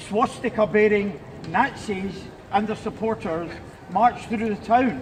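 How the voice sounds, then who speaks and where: Background noise can be clearly heard. The talking proceeds fairly slowly. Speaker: rally speaker. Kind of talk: public speech at a rally. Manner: loud, projected without amplification; halting, repeats words.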